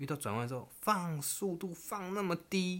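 The delivery comes at a moderate pace with lively intonation. It is an ordinary speaking voice. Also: man. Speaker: podcast co-host. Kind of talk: casual chat.

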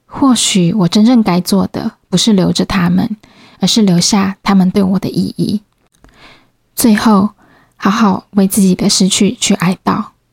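At a fairly slow pace, a woman talks in a somewhat breathy voice with very even loudness and fairly even intonation. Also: medium pitch for a woman, dry, close sound with no echo. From Taiwan, Changhua. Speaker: podcast host. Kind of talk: solo podcast monologue.

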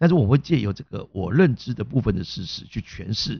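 A man talks at a medium pitch, somewhat breathy. His pitch swings very widely. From Taiwan, Hakka background. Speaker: comedy and improv teacher, podcast host. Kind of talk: casual chat.

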